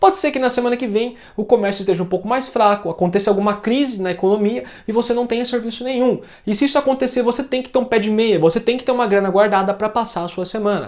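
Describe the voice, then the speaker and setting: Pitch varies in an ordinary way as the words come out at a very fast pace. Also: man, high pitch for a man. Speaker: phone repair technician and YouTuber. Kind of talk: tutorial. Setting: home workshop. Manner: casual. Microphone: new lavalier mic plus second mic.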